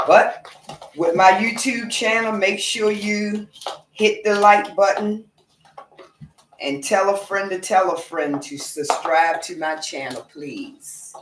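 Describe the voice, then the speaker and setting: Speaking very slowly with an occasional big swing in loudness, a woman with a Southern US accent uses lively intonation at a medium pitch. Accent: country, Southern US. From Norfolk, Virginia, US South. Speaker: home cook vlogger. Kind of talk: casual cooking livestream. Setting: home kitchen, live stream.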